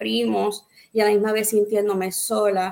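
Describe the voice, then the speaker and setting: A woman talks at a fairly slow pace with a fairly high pitch. She has an ordinary speaking voice. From Puerto Rico. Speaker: pastor. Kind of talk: testimony; preaching-style exhortation.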